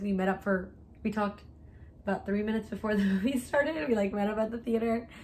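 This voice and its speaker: The tone is animated and somewhat breathy. The pace is very fast. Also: woman. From US, Mexican family. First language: Spanish. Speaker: YouTuber. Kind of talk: casual chat.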